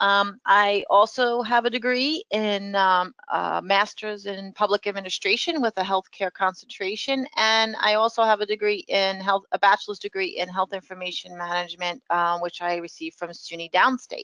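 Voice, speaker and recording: With a New York accent, a woman speaks at a moderate pace in a bright, sharp tone of medium pitch, showing ordinary pitch variation, hardly any pauses, and a dry, close sound with no echo. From New York City. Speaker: professor. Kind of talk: webinar presentation. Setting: online webinar. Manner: hesitant with many fillers.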